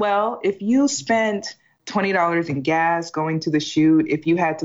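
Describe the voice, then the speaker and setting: A woman talks in a fairly low pitch. The variation in her pitch is ordinary. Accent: American. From Washington, D.C. area. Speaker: tax lawyer. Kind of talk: casual interview. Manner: animated.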